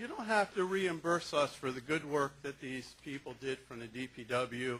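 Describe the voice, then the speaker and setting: Someone with an American accent speaks at a fairly slow pace in a bright, sharp tone. The intonation is lively. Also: man. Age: 60s. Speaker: local resident speaking at public meeting. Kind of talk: public comment at town board meeting. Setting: town hall meeting. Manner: formal.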